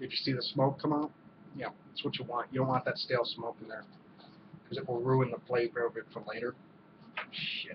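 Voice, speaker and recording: A man at a fairly quick pace, medium pitch and fairly even intonation, over noticeable background noise. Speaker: cigar reviewer. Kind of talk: casual video review. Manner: hesitant, many fillers.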